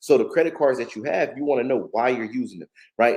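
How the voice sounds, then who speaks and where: The speaker is a man with an American accent and a medium pitch. He moves at a fairly quick pace with ordinary pitch variation. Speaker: credit and finance coach. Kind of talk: live stream teaching to chat. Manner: fast.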